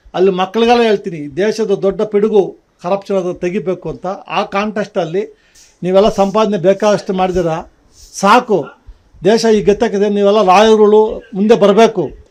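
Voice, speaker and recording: The man's voice sits high. Fairly even intonation runs through it. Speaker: retired judge, deputy anti-corruption ombudsman. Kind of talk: news interview.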